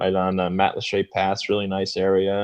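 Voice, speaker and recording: A man's fairly low voice at a moderate pace, in a dry, close sound with no echo. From upstate New York, then Southwest Florida. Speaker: blues musician. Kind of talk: interview.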